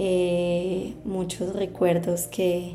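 A woman's medium-pitched, monotone voice with flat intonation, audible room echo and music in the background. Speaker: podcast host and adoptee. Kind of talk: personal testimony.

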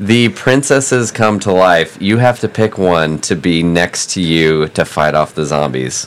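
A man's very deep, low voice with lively intonation, very even loudness, a fairly slow pace and hardly any pauses, over noticeable background noise. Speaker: guest host. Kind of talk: casual comedic banter.

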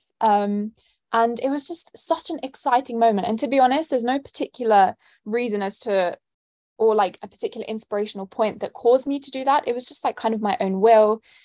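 Against a quiet background in a dry, close sound with no echo, a woman with a London accent talks fairly quickly at a fairly high pitch with ordinary pitch variation. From London, England. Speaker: student and nonprofit founder. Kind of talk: interview answers.

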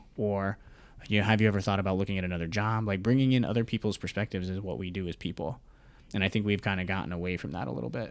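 In a very clean recording with a silent background, a man with a fairly low pitch talks at a very fast pace. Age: 20s. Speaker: mental health podcaster and military veteran. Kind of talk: casual interview.

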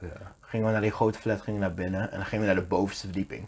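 A man's somewhat breathy voice, fairly low in pitch, with fairly even intonation. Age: 20s. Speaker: podcast co-host. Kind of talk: casual chat.

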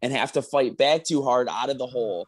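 A man at medium pitch, ordinary pitch variation and a moderate pace, a normal speaking voice. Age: 20s. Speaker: powerlifter and coach. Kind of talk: casual chat.

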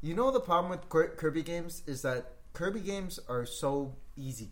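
Audible room echo surrounds a man speaking at a moderate pace. His pitch is fairly high. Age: 30s. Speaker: video game podcast co-host. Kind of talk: casual chat.

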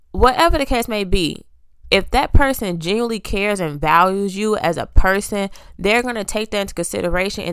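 A woman talks at a fairly quick pace in a medium pitch, with a plain, everyday voice and ordinary pitch variation. The recording is very clean, with a silent background. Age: 20s. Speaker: solo podcast host. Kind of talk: casual monologue.

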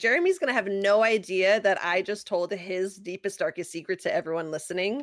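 With hardly any pauses, a woman speaks at a fairly quick pace in a normal speaking voice, her medium pitch showing ordinary variation. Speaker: podcast co-host. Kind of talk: casual chat. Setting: live online stream, remote. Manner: bubbly, laughs often.

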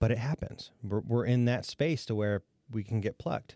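On a very clean recording with a silent background and a dry, close sound, a man with an American accent speaks at a moderate pace, his dark, mellow tone carrying lively intonation. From northwest Ohio, Defiance. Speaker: county economic development director. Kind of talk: casual interview chat.

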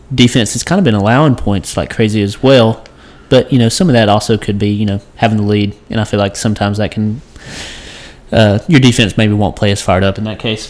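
This man has an unremarkable speaking voice, fairly low in pitch with ordinary variation, and he moves at a fairly quick pace. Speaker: sports podcast host. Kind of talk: casual sports talk podcast.

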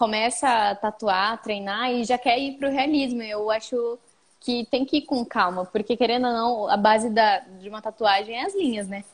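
The speaker has a normal speaking voice, a moderate pace and ordinary pitch variation. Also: woman, fairly high pitch for a woman. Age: 20s. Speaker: tattoo artist. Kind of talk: casual chat. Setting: video call.

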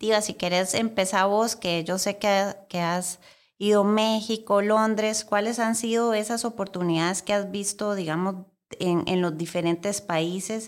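In a very clean recording with a silent background, a woman with an unremarkable speaking voice talks at a moderate pace, medium in pitch, with fairly even intonation. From Costa Rica. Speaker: podcast host. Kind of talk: casual chat. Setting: studio.

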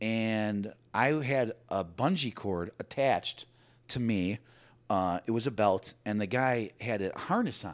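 On a very clean recording with a silent background, a man with an American accent speaks at a fairly slow pace in a fairly low voice, his tone animated and his pitch varying in an ordinary way. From Chicago, US. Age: 40s. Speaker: guest sharing life story. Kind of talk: casual chat. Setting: studio.

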